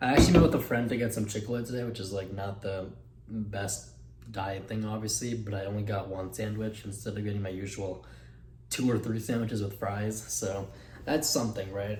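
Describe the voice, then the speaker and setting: A somewhat breathy man's fairly low voice at a fairly quick pace, with fairly even intonation and audible room echo. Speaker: fitness vlogger. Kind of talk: casual vlog. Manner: casual, filler-heavy.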